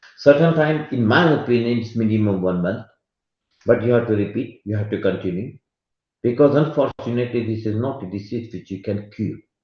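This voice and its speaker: Somewhat breathy, a man speaks at a fairly quick pace with medium pitch and ordinary pitch variation. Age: 60s. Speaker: medical expert speaker. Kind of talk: lecture. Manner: halting.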